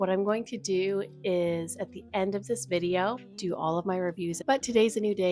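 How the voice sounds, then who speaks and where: This woman has a normal speaking voice, moderate pace, medium pitch and ordinary pitch variation. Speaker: book vlogger. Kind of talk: casual vlog talk to camera. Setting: at home.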